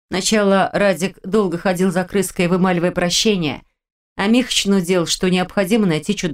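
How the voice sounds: Set against a quiet background, a natural reading voice carries fairly even intonation.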